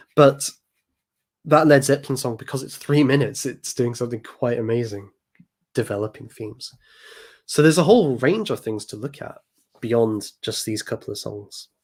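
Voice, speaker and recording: This man speaks at a medium pitch with an English accent, leaving long, frequent pauses and swinging widely in loudness, on a very clean recording with a silent background. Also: ordinary pitch variation, moderate pace. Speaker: music commentator and channel host. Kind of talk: live stream commentary. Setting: live stream. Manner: hesitant with fillers. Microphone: new microphone.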